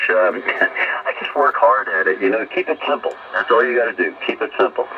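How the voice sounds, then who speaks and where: A man talks fairly quickly while noticeable noise runs in the background. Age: 60s. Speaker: ham radio operator. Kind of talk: casual radio conversation.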